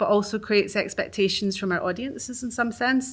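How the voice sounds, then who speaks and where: On a very clean recording with a silent background, a woman with a Glaswegian accent speaks at a very fast pace and medium pitch. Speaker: arts organisation worker. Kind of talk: reading aloud. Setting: live event with audience.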